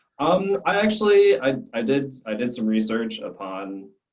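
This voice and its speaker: A man's voice with ordinary pitch variation. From Arizona, US (Scottsdale), Belgian family. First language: French. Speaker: glassblowing student. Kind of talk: interview. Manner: halting, many restarts.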